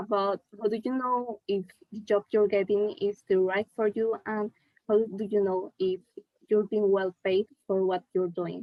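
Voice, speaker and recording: With a non-native accent, a woman speaks at medium pitch and a fairly slow pace. Her intonation is monotone and flat. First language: not English. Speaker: art student. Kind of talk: audience question. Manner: halting.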